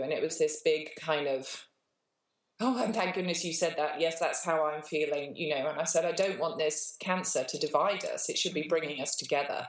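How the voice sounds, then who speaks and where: A woman talks with a fairly low pitch, keeping a moderate pace. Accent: British. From England. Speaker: cancer survivor. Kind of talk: interview answer.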